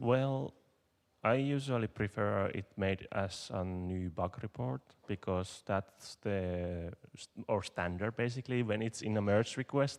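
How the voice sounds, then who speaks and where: At a fairly slow pace, a speaker with a non-native accent talks with ordinary pitch variation, in a dry, close sound with no echo against a quiet background. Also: man. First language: not English. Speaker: conference speaker, software developer. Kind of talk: conference Q&A. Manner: halting.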